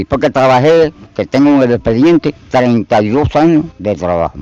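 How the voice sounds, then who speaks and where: The voice has a dark, mellow tone. Its intonation is lively. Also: man. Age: 80s+. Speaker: retired machine operator. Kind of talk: street interview.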